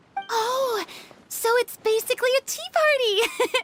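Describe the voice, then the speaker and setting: A squeaky, put-on character voice at an extremely high pitch moves at a fairly slow pace. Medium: video game. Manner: giggly, hesitant.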